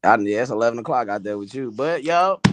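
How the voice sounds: A man's fast, fairly bright voice with lively intonation. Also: medium pitch for a man.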